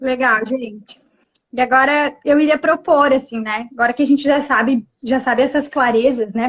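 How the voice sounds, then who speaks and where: Speaking in a southern Brazilian accent, the voice moves at a moderate pace with ordinary pitch variation. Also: woman. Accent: southern Brazilian (gaúcho) Portuguese. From Rio Grande do Sul, Brazil. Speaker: psychologist. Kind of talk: live stream talk. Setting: online live stream from family home.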